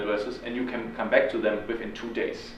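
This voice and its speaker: A man talking at a very fast pace amid audible room echo and noticeable background noise. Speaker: student activist leader. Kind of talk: talk to a student audience. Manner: frequent ums.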